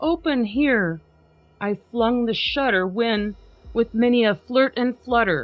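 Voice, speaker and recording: A woman speaks at a very slow pace with a fairly high pitch and lively intonation, her loudness very even. Music plays in the background. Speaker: podcast host. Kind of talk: dramatic poetry reading.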